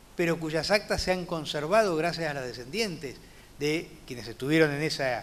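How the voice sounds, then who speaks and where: A man's fairly high-pitched voice with ordinary pitch variation and audible room echo. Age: 60s. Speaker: judge. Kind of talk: lecture. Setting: conference talk.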